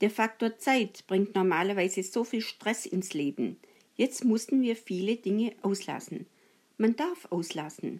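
At a very slow pace, a woman talks at a medium pitch with lively intonation. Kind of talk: personal testimony.

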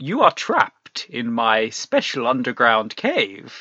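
This put-on character voice cackles at a low-to-middle pitch. The pace is fairly slow. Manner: cackling, villainous.

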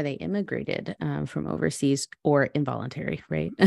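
With an American accent, a woman talks at a fairly quick pace in a dry, close sound with no echo. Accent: US English with Spanish code-switching. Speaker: podcast host. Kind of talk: casual interview chat. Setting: video call.

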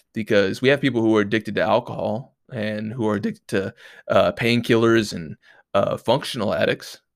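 A nasal voice with vocal fry moves at a fairly quick pace and fairly even intonation, on a very clean recording with a silent background. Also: man.

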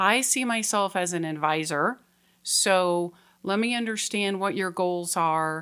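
A woman with an American accent, bright and sharp in tone, medium-pitched, fairly slow, with ordinary pitch variation, on a very clean recording with a silent background. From Colorado. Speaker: mortgage loan officer. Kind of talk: casual interview. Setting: studio.

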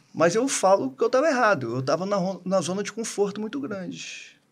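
Speaking with a high pitch, a man moves along at a fairly quick pace. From Brazil (small town). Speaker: dentist, co-host. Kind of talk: casual chat.

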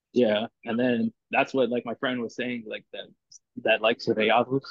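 Speaking at a moderate pace, a man of medium pitch talks with a South Texas accent. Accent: South Texas American. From Corpus Christi, Texas. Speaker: football fan. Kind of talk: casual chat.

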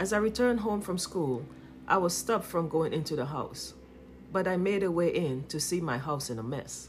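A woman's lively intonation at a moderate pace, with audible room echo. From Trinidad and Tobago. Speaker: podcast host. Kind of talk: personal testimony, read from script.

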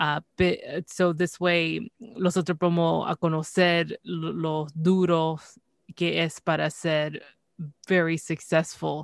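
Delivery is very slow, with monotone, flat intonation. The audio is dry and close, with no echo. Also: woman, fairly low pitch for a woman. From Canada. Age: 30s. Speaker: podcast host. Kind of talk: casual chat.

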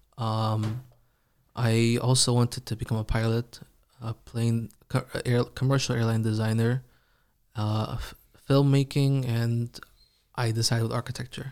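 A man with an Iranian accent speaks at a medium pitch and a moderate pace, with monotone, flat intonation and long, frequent pauses. The recording is very clean, with a silent background. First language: Farsi. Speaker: Quran reciter. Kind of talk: casual interview.

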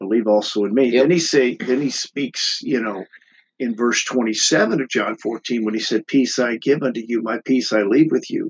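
In an American accent, a man of medium pitch talks at a moderate pace with an unremarkable speaking voice, ordinary pitch variation, and a dry, close sound with no echo. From United States. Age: 40s. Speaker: pastor. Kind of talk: casual chat.

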